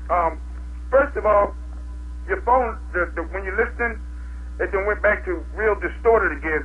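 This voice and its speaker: A man speaks with an American accent at a moderate pace, with noticeable background noise. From Syracuse, New York. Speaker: caller. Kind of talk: call-in talk radio. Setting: phone call.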